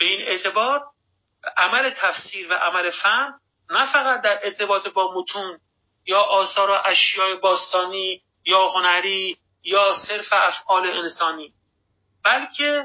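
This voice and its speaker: The speaking goes at a fairly slow pace with long, frequent pauses and ordinary pitch variation. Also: man, high pitch for a man. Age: 40s. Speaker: philosophy professor. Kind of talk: lecture. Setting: online audio room.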